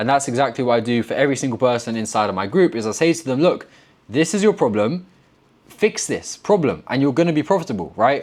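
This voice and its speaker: A man speaks very fast with a British accent. His intonation is lively. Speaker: forex trader and trading mentor. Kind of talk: tutorial. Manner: blunt, direct.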